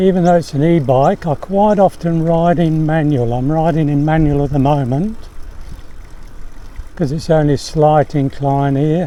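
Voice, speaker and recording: At a moderate pace and with fairly even intonation, the speaker talks through noticeable background noise. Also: man, fairly high pitch for a man. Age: 70s. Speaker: e-bike vlogger. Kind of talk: casual vlog narration. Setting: outdoors, riding a bike.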